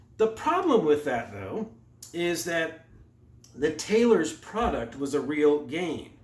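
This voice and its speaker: Amid noticeable background noise and audible room echo, a man speaks at a fairly high pitch with lively intonation. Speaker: economics lecturer. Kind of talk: lecture. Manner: fast.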